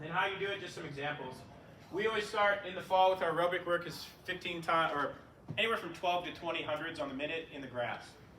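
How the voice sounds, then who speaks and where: Very fast man's voice with audible room echo and noticeable background noise. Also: ordinary pitch variation. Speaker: track and field coach. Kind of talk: clinic lecture. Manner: casual, filler words.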